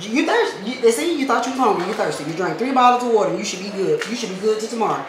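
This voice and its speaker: A woman speaks at a very fast pace. Audible room echo and noticeable background noise fill the recording. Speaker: vlogger. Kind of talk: casual vlog chat. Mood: playful, joking. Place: kitchen. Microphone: camera far.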